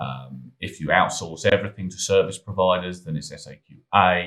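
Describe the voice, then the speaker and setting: With a British accent, a man talks at a moderate pace using fairly even intonation. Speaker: cybersecurity consultant. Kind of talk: tutorial. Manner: casual; halting, with fillers.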